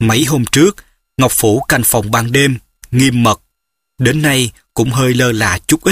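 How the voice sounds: A natural reading voice with ordinary pitch variation, against a quiet background.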